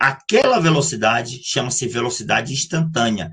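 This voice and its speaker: A man's bright, sharp tone with very wide pitch swings and vocal fry. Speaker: math teacher. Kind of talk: lecture. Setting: live online class. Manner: fast.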